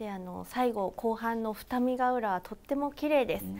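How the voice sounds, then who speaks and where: A woman's voice, fairly high-pitched, with ordinary pitch variation. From Fukuoka, Japan; Japan. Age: 30s. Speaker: fitness instructor and marathon runner; fitness instructor. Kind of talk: casual interview. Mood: friendly, upbeat. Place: studio. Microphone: lapel.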